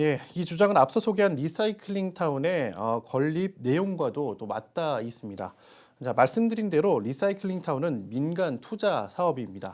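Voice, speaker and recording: Here a man speaks at a fairly high pitch with very wide pitch swings. His moderate pace comes through on a very clean recording with a silent background. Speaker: news reporter. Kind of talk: TV news studio explanation to anchor. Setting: studio.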